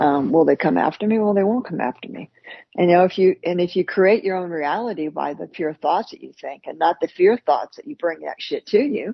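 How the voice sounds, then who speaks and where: A woman with an American accent talks at a fairly quick pace. Her intonation is lively, and her loudness swings widely. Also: fairly low pitch for a woman. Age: 60s. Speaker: podcast co-host. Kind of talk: casual chat. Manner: halting, repetitive.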